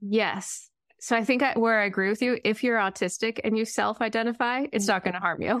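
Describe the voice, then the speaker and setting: A woman speaks fairly quickly in an unremarkable speaking voice at a fairly high pitch. Her intonation is fairly even, and the background is quiet. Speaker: podcast co-host, therapist. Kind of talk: casual interview chat.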